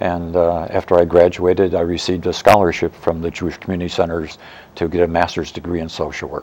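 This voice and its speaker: Speaking very fast, a man with a very deep, low voice keeps a flat, monotone intonation. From Chicago, US Midwest. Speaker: author and retired social worker. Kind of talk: interview.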